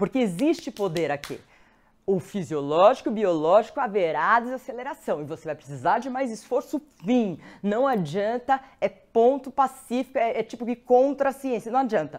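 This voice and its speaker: Over a quiet background, a woman speaks with a Brazilian accent at a fairly high pitch, using very wide pitch swings and vocal fry. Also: moderate pace. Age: 50s. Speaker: presenter. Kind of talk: live stream talk with audience poll. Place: studio.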